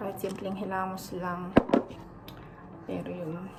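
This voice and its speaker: A woman's monotone, flat delivery carries audible room echo and noticeable background noise. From Philippines. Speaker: stay-at-home mom vlogger. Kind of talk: casual vlog chat. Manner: chatty. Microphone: no microphone, leaning close to camera.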